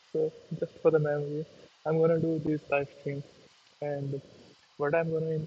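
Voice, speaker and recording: A somewhat breathy man with a non-native accent, at a moderate pace, fairly high in pitch, with a dark, mellow tone and monotone, flat intonation. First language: not English. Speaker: YouTuber learning to code. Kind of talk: casual live stream talk. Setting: live stream on laptop. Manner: halting.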